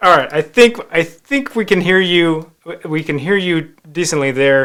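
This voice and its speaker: Loud and high-pitched, a man talks at a fairly slow pace. His intonation is lively. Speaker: magazine editor and live show host. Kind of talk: live web show interview. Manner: energetic.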